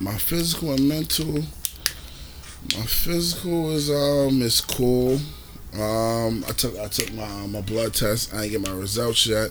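A man with a medium-pitched voice talks at a very slow pace, his intonation lively. Noticeable background noise sits behind him. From New York City (Brooklyn, Queens). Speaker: podcast host. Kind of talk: casual chat. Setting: outdoors.

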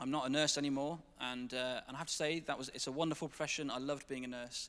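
A man's bright, sharp tone at a fairly quick pace, with fairly even intonation on a very clean recording with a silent background. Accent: English. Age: 20s. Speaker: church staff member. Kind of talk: testimony. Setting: church stage with congregation.

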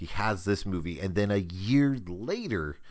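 A plain, everyday voice from a man, fairly low in pitch, with ordinary pitch variation. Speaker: podcast host. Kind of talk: casual chat.

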